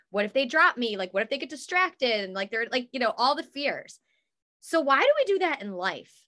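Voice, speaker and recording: A woman's raised, projected voice at a high pitch, fairly quick in pace, bright and sharp in tone, with very wide pitch swings. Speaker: guest, coach and podcaster. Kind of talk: casual interview chat, faith testimony. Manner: animated, talkative.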